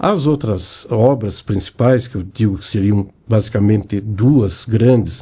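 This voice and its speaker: Slightly breathy and dark, mellow in tone, a man speaks at a very slow pace and medium pitch with ordinary pitch variation. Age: 70s. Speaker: club finance director. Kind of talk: interview.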